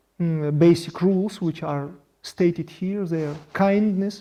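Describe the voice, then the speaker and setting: A man with a non-native accent speaks at a fairly slow pace with a high pitch. His tone is dark and mellow, and his intonation is fairly even. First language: Russian. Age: 40s. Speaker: project founder. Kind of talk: monologue presentation. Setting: video studio. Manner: halting.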